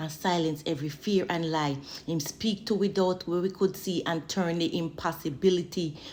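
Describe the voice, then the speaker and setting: A woman speaks with a Jamaican accent at a moderate pace. Her pitch is fairly low and her intonation fairly even. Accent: Jamaican Patois. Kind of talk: spoken word poetry, religious encouragement. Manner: fervent, preaching.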